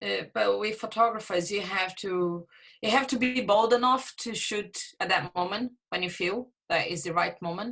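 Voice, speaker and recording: A woman speaks at a medium pitch. Her voice has vocal fry. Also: ordinary pitch variation, moderate pace. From Brazil. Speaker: theatre photographer. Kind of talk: podcast interview. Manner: halting.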